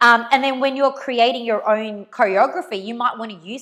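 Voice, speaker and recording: A woman's fairly high pitch shows ordinary variation as she talks at a moderate pace. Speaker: dance teacher. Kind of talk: live dance class instruction. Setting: live stream from home garage. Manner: loud; casual, chatty.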